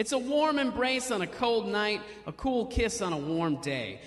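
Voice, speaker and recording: Against noticeable background noise, a man's pitch swings very widely. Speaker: stand-up comedian and poet. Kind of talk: poetry reading on stage.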